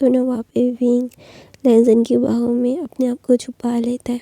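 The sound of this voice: A woman's fairly high-pitched voice with a dark, mellow tone, monotone, flat intonation and a moderate pace, in a dry, close sound with no echo.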